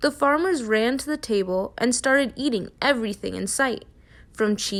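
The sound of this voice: Words read in an unforced reading voice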